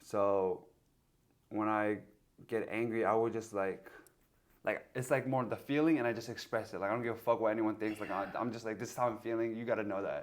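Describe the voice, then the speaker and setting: This man speaks at a fairly quick pace with medium pitch and an American accent, in a plain, everyday voice. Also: fairly even intonation. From USA. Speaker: podcast host. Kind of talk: casual chat. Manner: informal, filler-heavy.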